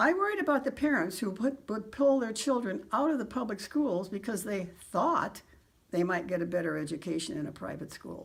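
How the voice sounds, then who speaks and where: Over noticeable background noise, a woman talks at a fairly quick pace with a fairly high pitch and very wide pitch swings. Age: 80s+. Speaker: retired teacher. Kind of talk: prepared personal statement. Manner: formal.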